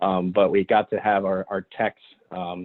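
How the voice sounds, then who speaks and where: The man's voice is fairly low in pitch. His intonation stays monotone and flat. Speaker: electric truck company representative. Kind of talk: business presentation. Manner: fast.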